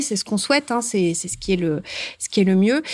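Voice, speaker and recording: A woman's voice at medium pitch. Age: 40s. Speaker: bank branch manager. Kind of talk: interview. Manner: hesitant, with frequent fillers.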